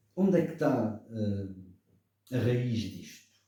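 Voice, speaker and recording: A man's dark, mellow, somewhat breathy voice. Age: 70s. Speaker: political commentator. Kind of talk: radio debate.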